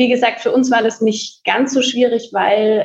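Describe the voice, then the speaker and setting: A woman's fairly high pitch, a moderate pace, and an ordinary speaking voice. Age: 20s. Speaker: coworking space co-founder. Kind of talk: podcast interview.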